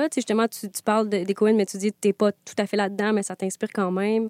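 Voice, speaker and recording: A woman talks at a fairly quick pace with a fairly high pitch. Her sound is dry and close with no echo, in a very clean recording with a silent background. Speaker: podcast host. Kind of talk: casual interview. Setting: standing in studio. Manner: animated.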